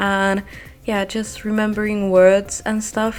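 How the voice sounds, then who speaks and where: A woman speaks with a non-native accent at a fairly slow pace. Her pitch is fairly high. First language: not English. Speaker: gaming video creator. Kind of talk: voiceover monologue. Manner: halting, with pauses.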